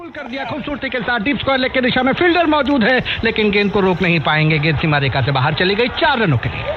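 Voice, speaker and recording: A high-pitched man's energetic, excited voice with very wide pitch swings and hardly any pauses, over noticeable background noise. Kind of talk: cricket play-by-play commentary.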